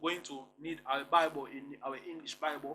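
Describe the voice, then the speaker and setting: With a Congolese accent, a man speaks in a fairly high pitch with a bright, sharp tone. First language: Kongo. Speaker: religious commentator. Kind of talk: online lecture. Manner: halting, repetitive.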